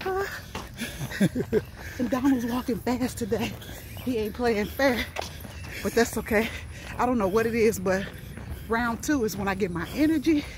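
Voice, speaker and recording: The pace is moderate, with long, frequent pauses. The sound is dry with no echo, and there is noticeable background noise. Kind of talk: casual vlog chat. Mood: playful teasing. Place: street.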